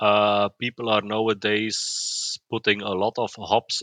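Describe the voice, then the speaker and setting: With a Dutch accent, a man speaks at a fairly low pitch in a bright, sharp tone. The sound is dry and close with no echo, over a quiet background. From Belgium, West Flanders. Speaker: chemical engineer and homebrewer. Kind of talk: interview. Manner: halting, many repetitions.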